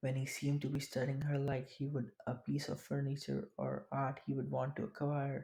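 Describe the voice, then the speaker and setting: A non-native accent at a moderate pace, with hardly any pauses. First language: not English. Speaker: audiobook narrator. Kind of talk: reading aloud.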